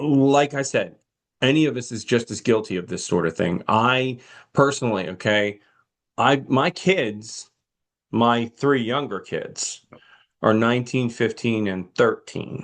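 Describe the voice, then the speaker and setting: Speaking at a fairly slow pace, a man uses an unremarkable speaking voice with ordinary pitch variation. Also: medium pitch for a man, quiet background. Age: 60s. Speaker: pastor and podcast co-host. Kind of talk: casual chat about a film.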